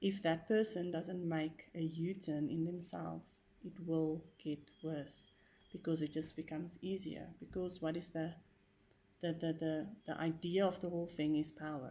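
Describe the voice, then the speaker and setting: With a non-native accent, this voice has a dark, mellow tone and a flat, monotone delivery at a moderate pace. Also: woman, fairly low pitch for a woman. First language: not English. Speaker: vlogger sharing personal experience. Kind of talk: personal monologue vlog. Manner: hesitant, many fillers.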